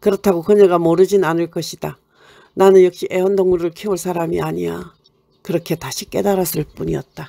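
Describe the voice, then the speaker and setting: In a Gyeongsang accent, a woman speaks at a fairly quick pace with a fairly low pitch, a dark, mellow tone, and monotone, flat intonation, in a dry, close sound with no echo. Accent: Gyeongsang dialect Korean. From Gyeongsang region, South Korea. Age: old. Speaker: poet. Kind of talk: short story reading.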